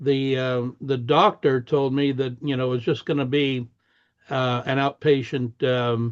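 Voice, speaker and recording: Very slow, flat and monotone delivery from a man at a medium pitch. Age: 70s. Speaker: networking meetup host. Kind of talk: casual personal story.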